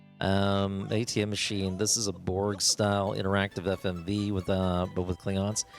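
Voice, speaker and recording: Music plays in the background as the speaker keeps a moderate pace at very even loudness with hardly any pauses. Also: man, fairly low pitch for a man. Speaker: video game streamer. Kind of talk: live gameplay stream chat. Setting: live stream. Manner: animated.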